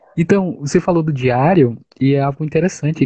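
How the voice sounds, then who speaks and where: A man's somewhat breathy voice, fairly high in pitch, with ordinary pitch variation and a moderate pace. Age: 30s. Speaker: live stream host discussing academic life. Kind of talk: casual discussion. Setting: online live stream.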